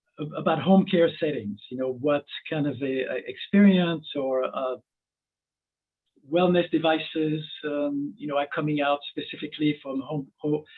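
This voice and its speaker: Ordinary pitch variation marks this man's fairly high voice. He keeps a moderate pace. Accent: French. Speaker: webinar host. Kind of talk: webinar interview. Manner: halting.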